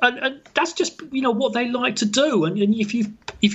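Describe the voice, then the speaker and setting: A man with a British accent speaks at a moderate pace with ordinary pitch variation. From England. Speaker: football fan website runner. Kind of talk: casual interview chat. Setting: phone or video call from England.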